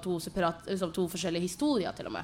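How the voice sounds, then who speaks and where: Using ordinary pitch variation, a woman talks at a fairly low pitch. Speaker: poet and playwright. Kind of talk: panel presentation. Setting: stage with audience in a tent.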